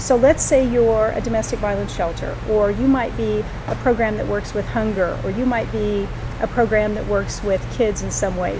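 A woman talks at a moderate pace. There is noticeable noise in the background. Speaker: guest. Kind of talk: interview answer. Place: shop.

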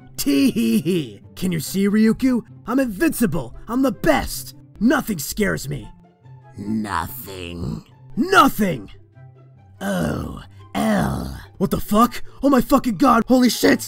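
Faint music plays in the background as a man does a put-on character voice. His pitch is high, and his pace is fairly slow. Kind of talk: comic dub. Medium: dub. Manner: manic, shouting.

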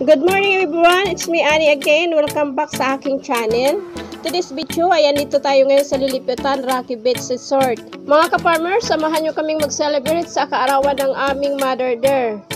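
A high-pitched woman at a fairly quick pace, ordinary pitch variation, and clear music in the background. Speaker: vlogger. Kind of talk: casual vlog chat. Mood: cheerful, relaxed. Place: beach. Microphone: phone near.

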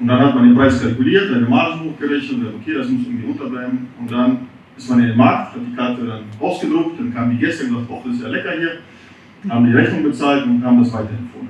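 A man at a very fast pace, with big swings in loudness, ordinary pitch variation, audible room echo and light background noise. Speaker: restaurant owner; restaurant owner in panel discussion. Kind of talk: audience contribution. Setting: audience with microphone. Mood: earnest, concerned. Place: bar.

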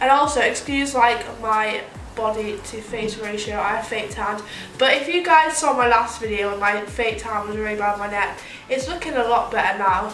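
A woman speaks with ordinary pitch variation. Light background noise and audible room echo are present. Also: moderate pace. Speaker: beauty vlogger. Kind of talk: casual vlog chat. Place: home room. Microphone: phone near.

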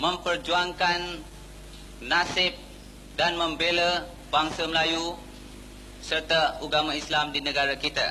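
High-pitched male speech at a very slow pace, over noticeable background noise. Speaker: event emcee introducing the speaker. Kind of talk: formal introduction.

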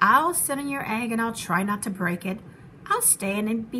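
What you hear is a natural reading voice.

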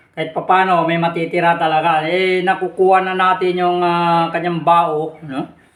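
A man with a high pitch delivers his words at a moderate pace in a monotone, flat intonation. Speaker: vlogger. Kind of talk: cooking vlog. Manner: halting, many fillers.

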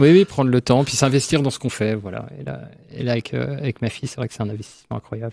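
Against a quiet background, a man with a dark, mellow tone and vocal fry talks at a very fast pace with lively intonation. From France, Nancy area; France. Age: 40s. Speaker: museum director; radio guest. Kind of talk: radio interview. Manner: halting. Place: studio. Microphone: studio mic.

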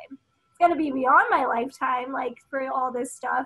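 Speaking at a moderate pace in a raised, projected voice, a woman with an American accent has a high pitch and ordinary pitch variation against a quiet background. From United States, Filipino American. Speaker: environmental activist and media host. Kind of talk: casual chat. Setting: video call. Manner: casual, filler-heavy. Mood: reflective, earnest. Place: home room. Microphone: webcam.

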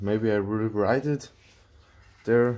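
Loud background noise sits behind speech delivered at a very slow pace. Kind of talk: tutorial. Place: workshop. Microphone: phone near.

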